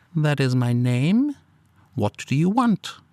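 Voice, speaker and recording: Using a husky put-on character voice, a man speaks at a fairly high pitch and a fairly slow pace. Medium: read story. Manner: furtive, evasive, then snarling.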